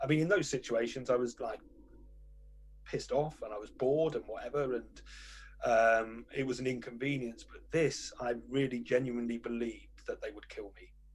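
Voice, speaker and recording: A man talks at a moderate pace while his loudness swings widely. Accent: British. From Britain. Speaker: journalist, newspaper editor. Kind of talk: interview conversation.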